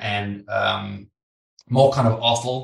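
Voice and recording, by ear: A man with an English accent, medium-pitched, fairly bright in tone, with vocal fry and audible room echo. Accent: British, English.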